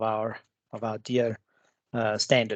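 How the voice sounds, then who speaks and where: A man in a South African accent at a moderate pace, dry and close with no echo, over a quiet background. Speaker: cybersecurity consultant. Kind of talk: webinar presentation. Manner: halting, many fillers.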